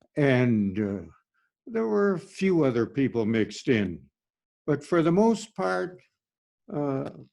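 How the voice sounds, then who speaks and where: Against a quiet background, a man with a Minnesota accent speaks at a very slow pace in a medium pitch, his dark, mellow tone marked by very wide pitch swings and long, frequent pauses. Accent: Minnesotan Upper Midwest American. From US Upper Midwest, Minnesota. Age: 90s. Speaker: pastor. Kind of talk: informal sermon, personal reminiscence. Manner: halting, with many fillers and repetitions.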